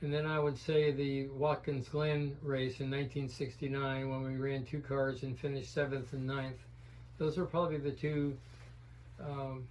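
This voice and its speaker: Somewhat breathy and flat in a monotone, a man's voice carries audible room echo. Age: 80s+. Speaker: retired racing team owner. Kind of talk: interview. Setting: studio.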